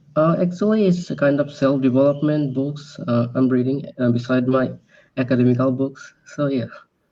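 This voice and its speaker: A man speaks with a Bengali accent, his loudness very even and his pitch varying in an ordinary way. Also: fairly high pitch for a man, moderate pace. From Bangladesh. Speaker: English learner. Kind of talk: casual chat. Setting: video call. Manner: halting.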